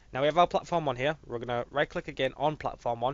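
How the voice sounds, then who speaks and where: A man talks at a very fast pace with a fairly high pitch. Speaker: game design tutorial maker. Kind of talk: tutorial. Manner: casual, with fillers.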